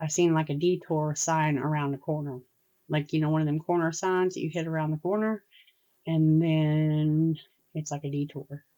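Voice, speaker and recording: At a moderate pace, a woman speaks with a dark, mellow tone and a very deep, low pitch. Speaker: tarot reader. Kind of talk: tarot reading. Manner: animated.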